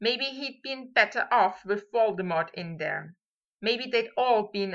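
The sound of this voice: Quiet background behind an unforced reading voice.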